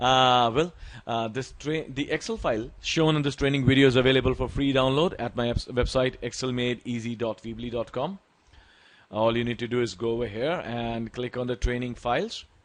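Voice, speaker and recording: The speaker has an Indian accent and a fairly quick pace. The intonation stays fairly even. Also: man, medium pitch for a man. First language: Hindi. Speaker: Excel tutor. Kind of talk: tutorial.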